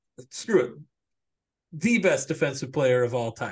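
A man's somewhat breathy, fairly high voice with lively intonation at a moderate pace, against a quiet background. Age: 30s. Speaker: sports podcast co-host. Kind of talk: casual chat.

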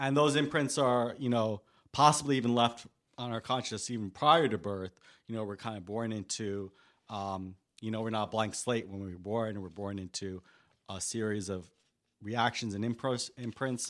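Someone with a New York accent is heard on a very clean recording with a silent background. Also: man, medium pitch for a man, ordinary pitch variation, moderate pace. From New York, Staten Island. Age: 40s. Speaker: radio host. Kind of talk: casual chat. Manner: halting.

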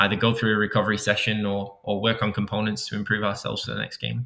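Speaking with a Manchester accent, a man keeps a fairly quick pace. His pitch is fairly low. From England, Manchester. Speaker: high school soccer coach. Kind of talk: interview. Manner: halting, many repetitions.

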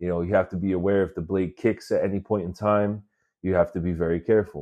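Speaking with an American accent, a man has a fairly low pitch. He keeps a moderate pace against a quiet background. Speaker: podcast host and escalator repair technician. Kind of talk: casual solo podcast monologue. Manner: casual, filler-heavy.

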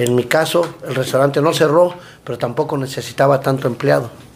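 The intonation stays fairly even at a moderate pace. Noticeable background noise runs underneath. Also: man. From Mexico City. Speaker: food truck owner and cook. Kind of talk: casual interview chat.

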